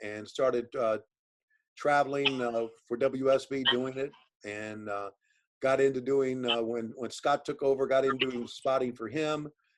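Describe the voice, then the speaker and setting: A man's normal speaking voice at a medium pitch, with fairly even intonation and a moderate pace. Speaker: professional wrestling commentator and sports broadcaster. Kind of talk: interview answer, casual conversational talk.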